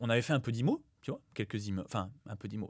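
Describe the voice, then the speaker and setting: The delivery has an animated tone and lively intonation. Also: man. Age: 20s. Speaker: real estate investor and former PE teacher. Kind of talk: podcast interview. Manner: fast.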